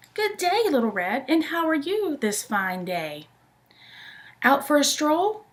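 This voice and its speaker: A woman puts on a character voice, speaking fairly slowly at a high pitch with very wide pitch swings. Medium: read story. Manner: sly.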